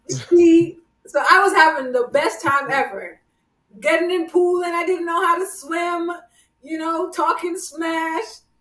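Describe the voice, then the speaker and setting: With a slight Jamaican accent, a woman talks at a fairly slow pace in an extremely high pitch, with ordinary pitch variation. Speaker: podcast host. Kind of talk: casual chat.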